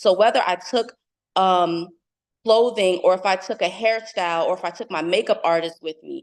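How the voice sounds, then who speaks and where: Speaking at a moderate pace, a woman with a New Jersey accent uses a medium pitch and fairly even intonation. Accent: New Jersey American. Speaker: fashion entrepreneur and tech speaker. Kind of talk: motivational talk.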